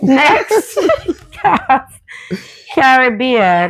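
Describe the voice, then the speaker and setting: A woman talks in a Jamaican accent. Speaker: video host. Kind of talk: casual chat.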